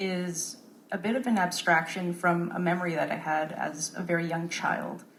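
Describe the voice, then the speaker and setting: Audible room echo around a woman's voice, medium in pitch and fairly slow in pace. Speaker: composer. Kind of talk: panel talk.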